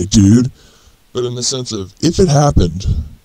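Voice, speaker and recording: At a moderate pace, a man talks with a medium pitch. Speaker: solo commentator talking about zombies. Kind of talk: informal, conversational. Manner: casual, rambling monologue.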